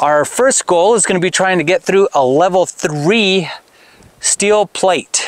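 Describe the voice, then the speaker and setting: A man's high voice at a fairly slow pace, with lively intonation and a dry sound with no echo. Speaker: shooting hobbyist host. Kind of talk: casual explanatory vlog chat. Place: open country. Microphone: lapel.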